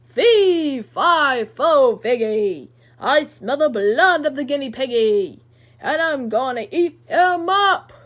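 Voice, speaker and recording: A woman performs a put-on character voice. She speaks very slowly at a high pitch. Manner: yelling, booming.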